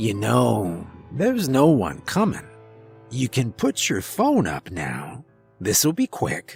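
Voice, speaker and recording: In a raspy, put-on character voice, a man speaks at a fairly slow pace and medium pitch. Faint music plays in the background. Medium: read story. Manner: casual, mischievous, laid-back.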